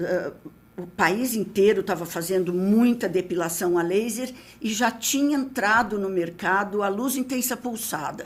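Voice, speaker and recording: A woman's somewhat breathy, fairly high voice at a fairly slow pace, with ordinary pitch variation. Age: 70s. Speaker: dermatologist and company founder. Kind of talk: podcast interview.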